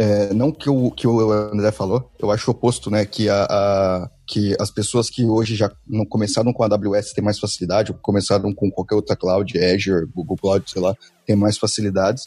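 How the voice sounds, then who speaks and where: A man's dark, mellow voice sits at a fairly low pitch with very even loudness in a very clean recording on a silent background. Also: hardly any pauses. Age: 20s. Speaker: developer advocate. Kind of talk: casual tech panel chat.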